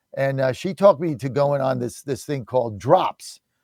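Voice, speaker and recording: The speaker, with an American accent, talks at a moderate pace with ordinary pitch variation on a very clean recording with a silent background. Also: man. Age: 60s. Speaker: radio talk show host. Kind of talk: talk radio interview. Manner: animated.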